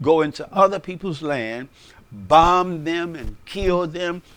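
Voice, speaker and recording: Speaking with an American accent, a man uses a fairly high pitch, ordinary pitch variation and a fairly slow pace. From United States. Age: 60s. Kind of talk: unscripted personal monologue. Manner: conversational, with hesitations.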